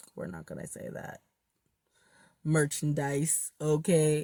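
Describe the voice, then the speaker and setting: On a very clean recording with a silent background and a dry, close sound with no echo, a woman speaks at a moderate pace in a dark, mellow tone. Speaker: tarot reader. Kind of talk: tarot reading monologue. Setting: in a car. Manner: stumbling, self-correcting.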